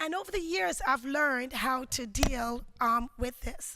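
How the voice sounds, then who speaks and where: A woman's raised, projected voice in a Jamaican accent, high-pitched with a bright, sharp tone, ordinary pitch variation, and a fairly slow pace. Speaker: educator, keynote speaker. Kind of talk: conference keynote speech. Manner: hesitant, many filler words.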